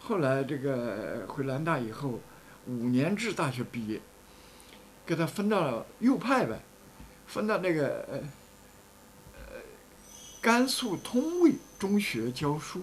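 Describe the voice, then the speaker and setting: Very slow and broken by long, frequent pauses, a man's speech comes over light background noise. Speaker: former rightist student, famine witness; witness. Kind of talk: interview testimony. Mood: earnest, reflective. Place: home room.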